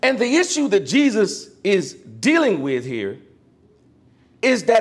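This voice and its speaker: Pitch swings very widely in this man's voice. He keeps a fairly slow pace. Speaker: preacher. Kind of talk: sermon. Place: church.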